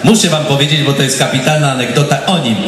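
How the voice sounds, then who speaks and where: A man speaks with fairly even intonation. Audible room echo and light background noise are present. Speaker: guest. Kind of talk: anecdote told to audience. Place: stage.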